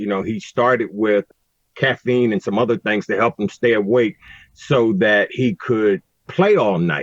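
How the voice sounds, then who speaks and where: A man with an American accent and an unremarkable speaking voice, fairly low in pitch, at a moderate pace. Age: 60s. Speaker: recovery advocate. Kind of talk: podcast interview.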